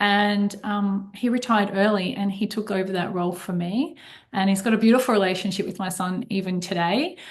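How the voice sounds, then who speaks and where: A woman with an Australian accent speaks at medium pitch and a fairly quick pace. Her voice is somewhat breathy, with fairly even intonation. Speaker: accountant and financial advisor. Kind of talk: podcast interview.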